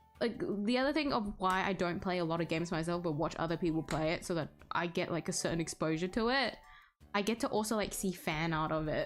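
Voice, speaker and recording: Music plays in the background as a woman talks at a very fast pace. Her pitch is fairly low with ordinary variation, and her loudness stays very even. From Australia. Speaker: streamer. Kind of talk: casual chat.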